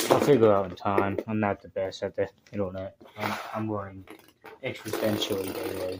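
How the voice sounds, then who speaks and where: Moderate pace against noticeable background noise. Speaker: youtuber hosting toy battle videos. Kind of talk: casual commentary.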